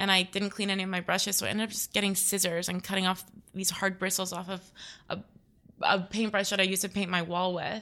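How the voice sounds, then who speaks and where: A woman with an American accent talks at a very fast pace and medium pitch. Her tone is bright and sharp, her intonation monotone and flat. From Florida (Naples, west coast). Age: 20s. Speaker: painter. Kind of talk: casual interview.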